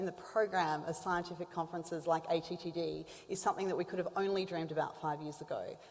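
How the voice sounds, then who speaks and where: Over noticeable background noise, a woman with a medium pitch talks at a fairly quick pace, her intonation fairly even. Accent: Australian. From Australia. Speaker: symposium host, diabetes advocate. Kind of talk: conference introduction. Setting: stage with audience.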